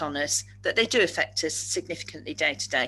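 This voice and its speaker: Against a quiet background, the talking runs at a fairly quick pace. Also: woman. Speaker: speaker on neurodiversity at work. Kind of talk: webinar presentation. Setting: webinar. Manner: fast.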